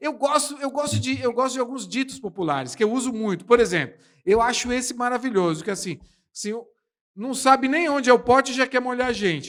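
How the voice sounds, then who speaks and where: A man with a São Paulo accent, extremely high-pitched and animated in tone, fairly quick in pace, with ordinary pitch variation. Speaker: podcast host. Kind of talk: casual chat. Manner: animated, exaggerated delivery.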